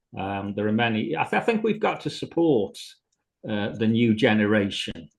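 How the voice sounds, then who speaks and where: A man talks at a moderate pace and a medium pitch. His pitch variation is ordinary. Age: 60s. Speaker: actor. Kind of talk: interview. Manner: halting.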